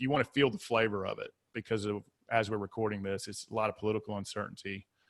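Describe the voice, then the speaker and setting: A man with a Southern US accent talks at a fairly quick pace and a fairly low pitch. The sound is dry and close with no echo, in a very clean recording with a silent background. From US South. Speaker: mindset coach and author. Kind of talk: podcast interview. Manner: animated.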